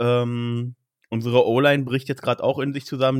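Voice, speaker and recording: At a moderate pace, a man talks in a monotone, flat manner at a medium pitch. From Berlin, Germany. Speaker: trainee care worker and fan podcaster. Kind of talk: casual chat.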